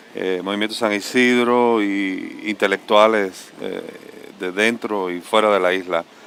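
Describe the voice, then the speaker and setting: Over noticeable background noise, a man with a fairly low pitch talks at a fairly slow pace in a flat, monotone delivery. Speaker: visual artist. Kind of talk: panel discussion.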